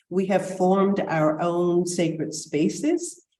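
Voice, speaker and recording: With audible room echo, a woman speaks very slowly in a dark, mellow tone at a fairly low pitch. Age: 70s. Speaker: panel moderator, scholar. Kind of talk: panel discussion remarks. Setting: video call. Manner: hesitant with fillers.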